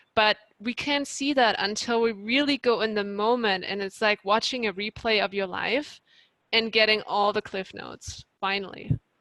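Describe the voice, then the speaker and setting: A woman with a plain, everyday voice, fairly high in pitch, at a moderate pace with ordinary pitch variation, in a dry, close sound with no echo. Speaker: life coach. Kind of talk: presentation Q&A.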